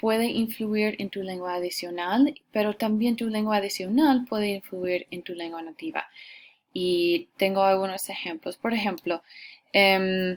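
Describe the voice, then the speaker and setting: A woman with an English accent, medium pitch and ordinary pitch variation, at a fairly slow pace, on a very clean recording with a silent background. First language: English (speaking Spanish). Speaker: Spanish teacher. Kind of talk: lecture. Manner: hesitant, many fillers.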